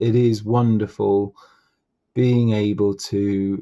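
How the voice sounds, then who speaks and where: A man with an English accent speaks in a medium pitch with a dark, mellow tone. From England. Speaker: political commentator. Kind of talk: casual commentary monologue. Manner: hesitant with many fillers and repetitions.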